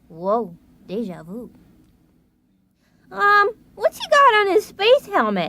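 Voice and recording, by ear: A fairly high, female-sounding cartoonish character voice moves at a fairly slow pace with long, frequent pauses.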